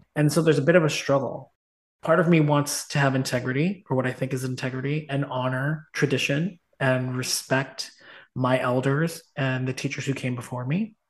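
At a moderate pace, a man talks in a fairly high, somewhat breathy voice with fairly even intonation. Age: 40s. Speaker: dance instructor and meditation center founder. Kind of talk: casual chat. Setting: call.

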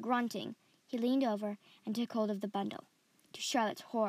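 Fairly even intonation in a natural reading voice

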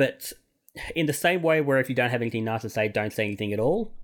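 Lively in intonation, a man speaks at a medium pitch in a plain, everyday voice. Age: 30s. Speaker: fan website editor. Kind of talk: casual panel discussion.

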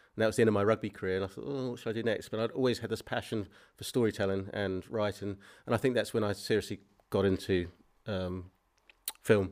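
Talking at a very fast pace, a man uses a New Zealand accent. His pitch is fairly low and his intonation fairly even. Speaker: filmmaker. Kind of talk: interview. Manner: halting.

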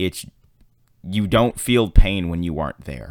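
At a fairly slow pace, a man talks in an animated tone. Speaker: podcast host. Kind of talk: solo casual monologue podcast. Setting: solo podcast recording. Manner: chatty, rambling, warm; animated, casual, filler-heavy.

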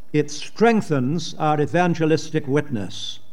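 A man speaks with a British RP accent. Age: 80s. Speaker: preacher. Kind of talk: sermon. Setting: conference with audience.

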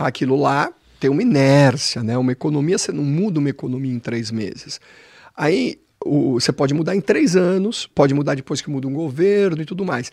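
With an unremarkable speaking voice, a man talks at a moderate pace in a fairly high pitch. His intonation is lively. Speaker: financial educator. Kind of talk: explanatory chat.

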